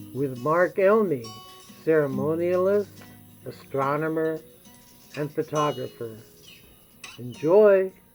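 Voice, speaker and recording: Very slow speech with long, frequent pauses over background music. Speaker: presentation host. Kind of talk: event introduction.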